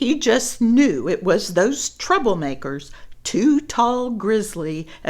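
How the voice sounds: A natural reading voice is heard in this recording.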